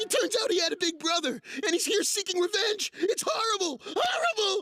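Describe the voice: A cartoonish character voice at an extremely high pitch rattles along at a fairly quick pace.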